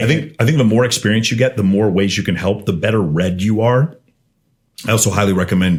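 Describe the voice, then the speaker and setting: Talking at a very fast pace, a man with an American accent keeps his loudness very even. His voice is fairly low, with ordinary pitch variation and an animated tone. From Texas, Austin. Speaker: podcast guest, CEO and dating coach. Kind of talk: casual podcast interview.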